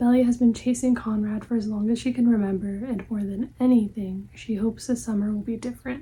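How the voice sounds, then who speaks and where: Soft-spoken, monotone, flat delivery at a moderate pace. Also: woman. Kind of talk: ASMR librarian roleplay, book recommendations.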